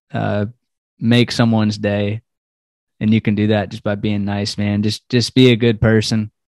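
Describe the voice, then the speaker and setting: Against a quiet background, a man with an American accent speaks at a fairly low pitch and moderate pace in a monotone, flat delivery, with a dry sound and no echo. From Southern California and Charlotte, North Carolina; Southern California. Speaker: goal-setting coach. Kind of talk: casual interview chat. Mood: warm, grateful. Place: home room. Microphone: headset.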